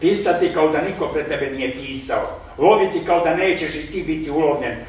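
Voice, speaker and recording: A man's lively intonation comes across despite noticeable background noise. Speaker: stage and film actor. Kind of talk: poetry reading. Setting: live literary evening.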